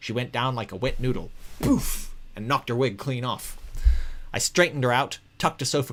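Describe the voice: What you hear is plain reading aloud.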